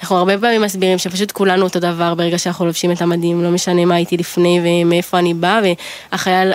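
Despite noticeable background noise, a woman with a fairly low voice rushes at a very fast pace with monotone, flat intonation and very even loudness. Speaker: army company commander. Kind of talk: interview.

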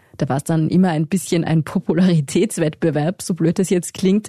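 A woman with a fairly low pitch speaks at a moderate pace, somewhat breathy, in a dark, mellow tone. Her pitch varies in an ordinary way, and the sound is dry and close with no echo. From Tyrol, Pitztal valley. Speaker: journalist, podcast co-host. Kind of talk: scripted narration.

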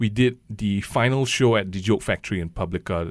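A man with a very deep, low pitch and ordinary pitch variation, on a very clean recording with a silent background. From Malaysia. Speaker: comedian. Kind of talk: stand-up; casual interview. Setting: office with live audience.

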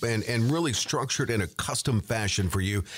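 Vocal fry colors this man's voice. He keeps up a fairly quick pace. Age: 60s. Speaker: radio co-host. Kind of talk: radio talk show chat; reading out listener questions.

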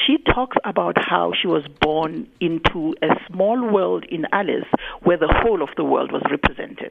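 Noticeable background noise runs beneath a woman who talks at a moderate pace. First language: Zulu. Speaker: poet and writer, university lecturer. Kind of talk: radio interview. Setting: radio studio.

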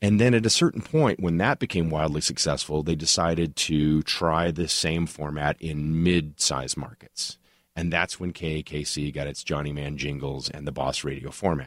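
A man with an American accent speaks at a moderate pace. His pitch is very deep and low, and the recording is very clean with a silent background. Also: ordinary pitch variation. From Oklahoma (Tulsa). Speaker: television writer and showrunner. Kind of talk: interview conversation.

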